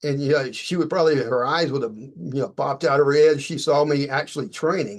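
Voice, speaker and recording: Moving at a fairly quick pace, a man talks at a fairly high pitch with ordinary pitch variation. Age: 60s. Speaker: martial arts author and teacher. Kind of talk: interview. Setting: podcast interview. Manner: halting, many fillers.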